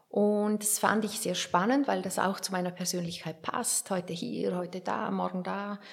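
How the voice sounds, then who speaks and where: A woman speaks in a normal speaking voice at medium pitch and a moderate pace. Her intonation stays fairly even, with hardly any pauses. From Switzerland, Werdenberg (St. Gallen). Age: 50s. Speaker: author and biographer. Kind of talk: interview.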